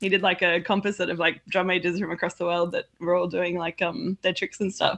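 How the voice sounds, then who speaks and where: A woman talks at a fairly quick pace with an Australian accent. Her fairly low voice stays flat and monotone against a quiet background. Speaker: pipe band organization president. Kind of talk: casual chat.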